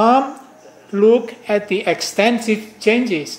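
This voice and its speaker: A man's voice with noticeable background noise. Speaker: professor. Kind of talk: lecture. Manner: halting.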